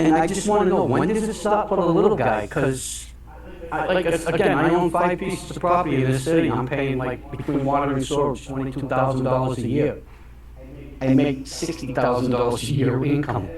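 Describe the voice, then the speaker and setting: Delivery is fairly quick, and the pitch varies in an ordinary way. The room echoes audibly, with noticeable noise in the background. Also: man, fairly high pitch for a man. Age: 60s. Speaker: property owner commenting at city council. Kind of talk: public comment. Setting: city council meeting. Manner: halting.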